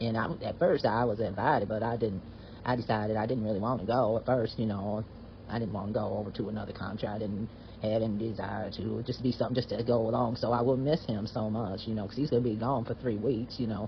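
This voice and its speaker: In a Southern US accent, a man talks at a very fast pace. His pitch is medium and his intonation fairly even. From US South. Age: 70s. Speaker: retired veterinarian sharing a personal story. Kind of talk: personal storytelling. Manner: halting, with frequent fillers and restarts.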